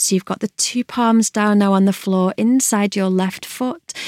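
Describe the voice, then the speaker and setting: In a plain, everyday voice, a woman speaks at medium pitch with fairly even intonation, the sound dry and close with no echo. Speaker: yoga instructor. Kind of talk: guided yoga class, calm instructional cueing. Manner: soothing, slow, soft, measured.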